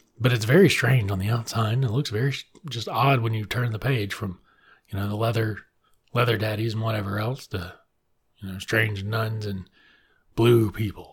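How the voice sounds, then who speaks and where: A man speaks at a moderate pace in a medium pitch, his somewhat breathy voice broken by long, frequent pauses. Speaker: librarian podcast host reviewing books. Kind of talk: solo book review monologue. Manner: animated.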